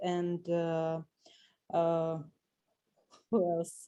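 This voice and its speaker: A woman's dark, mellow voice with a Russian accent, at a very slow pace. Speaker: doctor at a breast cancer clinic. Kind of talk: audience question in webinar Q&A. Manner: halting.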